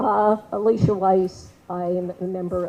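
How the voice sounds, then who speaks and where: A woman's dark, mellow, medium-pitched voice with an American accent. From New York. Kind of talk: public meeting speech. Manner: loud.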